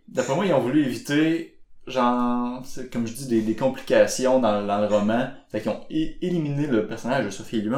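Medium pitch, ordinary pitch variation and a moderate pace from a man with an unremarkable speaking voice. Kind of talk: casual chat.

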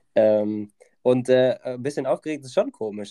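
The voice has a dark, mellow tone, heard in a dry, close recording with no echo. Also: man. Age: 20s. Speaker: federal volunteer at a horse farm. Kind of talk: casual chat. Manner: hesitant, many filler sounds.

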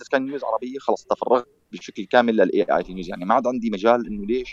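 Fairly quick speech from a man, the sound dry and close with no echo. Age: 40s. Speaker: tech news site founder. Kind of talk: interview.

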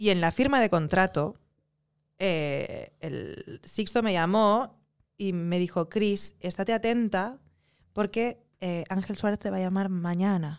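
At a very slow pace, a woman speaks with a medium pitch and ordinary pitch variation on a very clean recording with a silent background. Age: 30s. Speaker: actress. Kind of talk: casual interview chat.

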